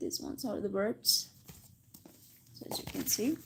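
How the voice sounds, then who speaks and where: Her tone dark and mellow, a woman talks at a moderate pace and fairly high pitch with vocal fry. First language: Spanish. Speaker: English teacher. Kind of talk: livestream English lesson. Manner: casual, with self-corrections and restarts.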